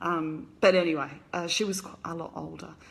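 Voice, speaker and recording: A woman speaks with an Australian accent at a fairly low pitch. Room echo is audible. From Australia, Brisbane. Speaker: author. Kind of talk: casual live stream chat. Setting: live video stream. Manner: casual, hesitant with fillers.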